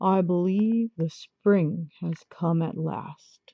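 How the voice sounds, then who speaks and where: A woman does a gruff, put-on character voice at a fairly low pitch. She speaks at a very slow pace. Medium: read story.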